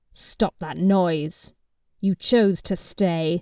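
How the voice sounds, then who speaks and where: A woman puts on a gruff character voice. It sits at a medium pitch. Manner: harsh, commanding.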